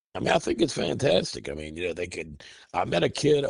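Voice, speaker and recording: This man talks at a fairly quick pace. Vocal fry runs through his voice. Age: 60s. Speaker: metal band vocalist and guitarist. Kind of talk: interview. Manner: halting, many fillers and repeats.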